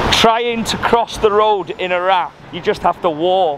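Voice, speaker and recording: Noticeable background noise accompanies a man's voice, the sound dry with no echo. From Wales. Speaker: travel vlogger. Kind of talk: travel vlog narration. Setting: outdoors. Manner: animated. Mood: curious, slightly bemused. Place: street. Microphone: phone near.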